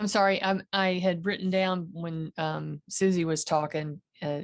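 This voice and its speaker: A woman speaks with a Southern accent and a fairly low pitch. The sound is dry and close, with no echo. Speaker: meditation participant. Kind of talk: casual chat.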